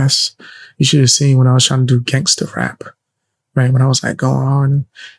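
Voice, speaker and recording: Whispering and somewhat breathy, a man speaks with a dry, close sound with no echo. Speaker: streamer, rapper. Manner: sounds like whispering.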